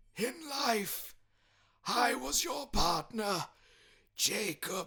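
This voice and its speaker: A man puts on a raspy character voice, pitched high and delivered at a very slow pace. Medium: read story. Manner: solemn, grave.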